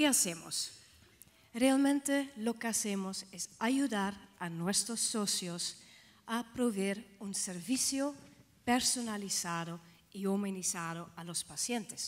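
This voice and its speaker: Speech in a Dutch accent moves at a very slow pace with lively intonation. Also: woman, medium pitch for a woman. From Netherlands. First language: Dutch (speaking Spanish). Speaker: healthcare organization director. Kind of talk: conference talk. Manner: halting, with fillers.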